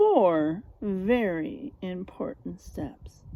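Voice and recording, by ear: The voice moves at a very slow pace with big pitch swings. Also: woman, fairly low pitch for a woman.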